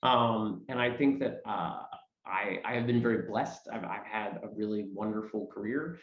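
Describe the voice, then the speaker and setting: Audible room echo surrounds a man speaking with an American accent. His pitch moves in an ordinary way. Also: medium pitch for a man, moderate pace. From New York City area. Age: 30s. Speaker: stage actor. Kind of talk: interview. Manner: halting.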